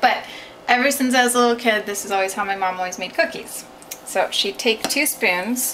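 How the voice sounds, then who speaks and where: Noticeable background noise fills the clip. A woman talks over it at a fairly quick pace. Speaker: vlogger. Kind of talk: casual vlog chat. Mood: cheerful, playful. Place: kitchen. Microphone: phone near.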